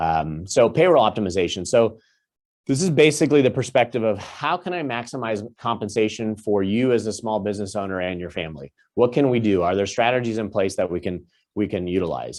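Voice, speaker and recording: A man's medium-pitched voice at a fairly quick pace. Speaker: financial advisor. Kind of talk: webinar presentation. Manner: fast.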